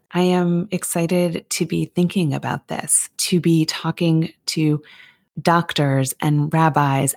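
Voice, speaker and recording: Speaking very slowly with fairly even intonation, a woman uses a very deep, low pitch in a dry, close sound with no echo. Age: 30s. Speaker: podcast host. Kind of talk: scripted narration.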